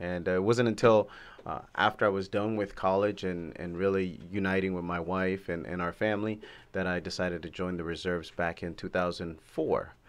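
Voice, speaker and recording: Over a quiet background, a man with a very deep, low pitch speaks at a fairly quick pace with fairly even intonation. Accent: American. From California. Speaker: navy reservist. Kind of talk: interview. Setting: studio. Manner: halting, many fillers.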